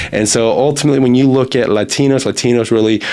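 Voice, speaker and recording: Noticeable background noise runs under a man speaking at a fairly quick pace with an American accent. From US. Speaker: recruiter and podcast host. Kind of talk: podcast monologue. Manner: casual, conversational.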